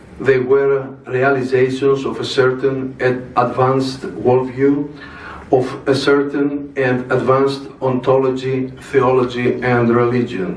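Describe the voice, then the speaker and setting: In a room with audible echo and noticeable background noise, a man speaks fairly slowly in a flat monotone. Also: medium pitch for a man. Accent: Greek. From Greece. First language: Greek. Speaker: religious speaker. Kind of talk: formal speech. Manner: formal.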